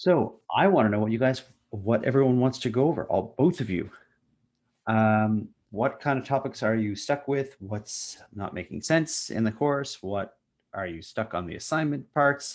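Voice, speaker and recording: Over a quiet background, a man mumbles at a moderate pace, his medium-pitched voice carrying lively intonation. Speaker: university instructor. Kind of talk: online lecture with Q&A. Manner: mumbling.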